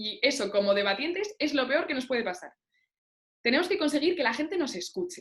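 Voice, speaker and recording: Speaking at a fairly quick pace, a woman with a high voice makes very wide pitch swings. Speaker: debate coach. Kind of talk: workshop lecture. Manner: fast.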